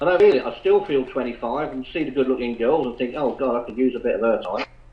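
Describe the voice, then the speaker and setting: Talking at a very fast pace with an English accent, a man keeps fairly even intonation at medium pitch. There is noticeable background noise. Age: 70s. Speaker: retired police officer. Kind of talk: casual chat. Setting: online chat room call. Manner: halting.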